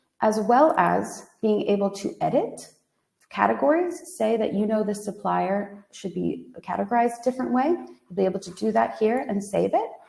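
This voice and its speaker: In an American accent, a woman talks at a moderate pace. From United States. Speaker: software product demonstrator. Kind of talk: product demo webinar.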